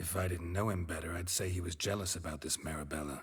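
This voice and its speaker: A man's put-on character voice, very deep and low in pitch, at a very fast pace. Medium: video game. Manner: deadpan, terse.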